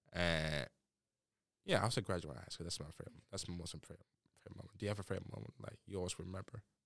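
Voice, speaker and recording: Talking very fast yet leaving long, frequent pauses, a man with a very deep, low pitch and vocal fry shows ordinary pitch variation and big swings in loudness. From Nigeria. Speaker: student podcast host. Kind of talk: casual chat. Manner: animated.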